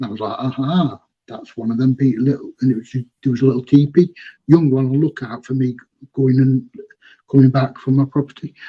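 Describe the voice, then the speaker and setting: The man's voice sits at medium pitch and is somewhat breathy. His intonation stays fairly even at a fairly quick pace. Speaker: eyewitness. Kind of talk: testimony. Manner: fast.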